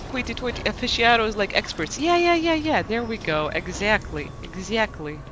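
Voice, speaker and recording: A high-pitched male voice with very wide pitch swings and hardly any pauses, over noticeable background noise. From Lithuania. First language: Lithuanian. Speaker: gaming streamer. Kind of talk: casual live-stream chat. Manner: fast, with repetitions and self-corrections.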